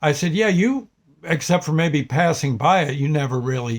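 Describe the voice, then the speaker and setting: A man with an American accent, fairly high-pitched and somewhat breathy, with lively intonation. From US Northeast (New Jersey). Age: 70s. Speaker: vlogger. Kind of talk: casual vlog monologue. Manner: halting, many fillers.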